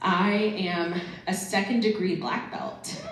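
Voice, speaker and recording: A woman with an American accent speaks in an animated tone at a fairly low pitch, with audible room echo and noticeable background noise. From Central Florida. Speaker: guest speaker. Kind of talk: school assembly talk. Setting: stage with audience.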